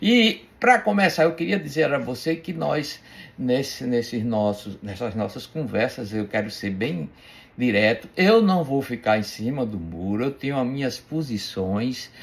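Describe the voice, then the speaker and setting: Pitch leaps up and down dramatically while the delivery unfolds rather slowly. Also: man, medium pitch for a man. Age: 60s. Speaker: bible teacher. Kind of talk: religious teaching talk. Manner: halting, many repetitions and fillers; playful.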